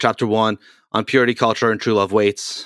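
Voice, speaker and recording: A man with an unremarkable speaking voice talks in a fairly low pitch and fairly even intonation. The recording is very clean, with a silent background and a dry, close sound with no echo. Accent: American. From US Northeast (Boston area). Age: 40s. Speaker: podcast host, youth pastor. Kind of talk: casual interview.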